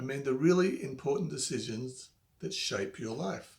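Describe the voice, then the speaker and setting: Lively intonation marks a man's somewhat breathy voice as he talks at a moderate rate. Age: 50s. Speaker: money and life advice presenter. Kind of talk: advice talk to camera.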